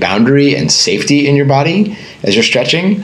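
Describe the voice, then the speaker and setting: A man speaks at a moderate pace with an American accent. The room echo is audible, and background noise is noticeable. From US, Northern Virginia. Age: 40s. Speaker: breathwork and meditation teacher. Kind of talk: casual interview.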